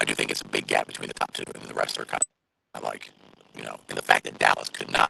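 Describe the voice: A man's extremely low, croaky voice with vocal fry, a bright, sharp tone, little pitch movement and a fast pace. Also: dry, close sound with no echo.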